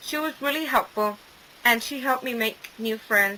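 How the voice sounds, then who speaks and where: A woman with a Spanish accent talks at a moderate pace in a fairly high pitch with ordinary pitch variation, over noticeable background noise. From Mexico. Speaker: student. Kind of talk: scripted narration.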